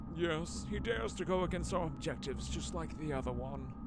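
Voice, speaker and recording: A man's put-on character voice at a fairly quick pace over loud background noise. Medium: game stream. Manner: solemn, conspiratorial.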